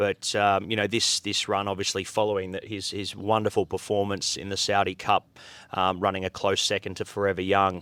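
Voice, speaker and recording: In an Australian accent, a man delivers a bright, sharp tone at a fairly low pitch and a fairly quick pace, his intonation monotone and flat, on a very clean recording with a silent background and a dry, close sound with no echo. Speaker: horse racing commentator. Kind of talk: interview answer.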